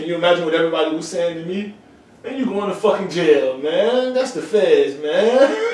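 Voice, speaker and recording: Against noticeable background noise and audible room echo, a man with a high pitch talks fairly quickly, with lively intonation and big swings in loudness. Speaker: brewery worker, former gang member. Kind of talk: casual interview conversation. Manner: fast, words run together; animated.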